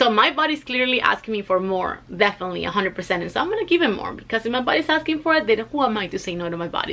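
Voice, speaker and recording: Talking at a very fast pace with lively intonation, a woman with a Spanish accent has a fairly high pitch amid noticeable background noise. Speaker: weight loss vlogger. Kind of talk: casual vlog. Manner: conversational with fillers.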